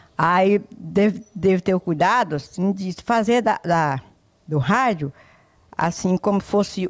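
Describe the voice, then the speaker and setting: A woman talks at a very slow pace. Her intonation is lively, and the background is quiet. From Ceará, Brazil. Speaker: former radio presenter. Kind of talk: casual interview, reminiscing. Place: home room. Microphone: handheld.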